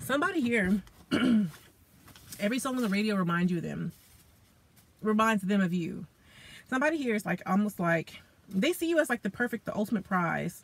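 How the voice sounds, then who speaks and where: A somewhat breathy woman's voice at medium pitch, fairly quick, with lively intonation and long, frequent pauses. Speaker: tarot reader. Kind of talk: tarot reading talk to camera. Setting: in a car. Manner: casual, conversational.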